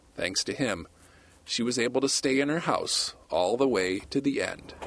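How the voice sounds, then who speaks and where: A man with a plain, everyday voice talks at medium pitch and a moderate pace, with ordinary pitch variation and a quiet background. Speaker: TV news correspondent. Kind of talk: TV news feature narration.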